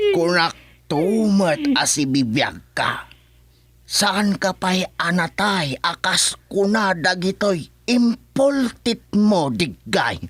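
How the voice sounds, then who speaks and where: A man puts on a character voice, high-pitched with lively intonation. He goes at a very slow pace with very even loudness. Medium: audio drama. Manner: blunt, boastful.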